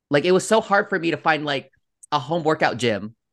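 Speaking at a moderate pace with vocal fry, a man is heard over a quiet background. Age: 30s. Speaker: social media comedian. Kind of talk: casual chat.

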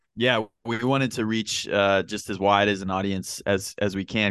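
A man's fairly low voice at a fairly quick pace, fairly even in intonation, with a dry, close sound, no echo and a quiet background. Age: 20s. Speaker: podcast co-host, trivia contestant. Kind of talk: casual chat. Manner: halting, many fillers.

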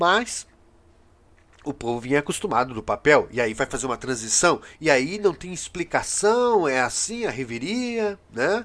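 Against a quiet background, a man talks at a fairly slow pace, his fairly high voice moving through very wide pitch swings. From Brazil. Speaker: podcast/video host, political commentator. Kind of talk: solo commentary monologue. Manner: halting, many filler hesitations.

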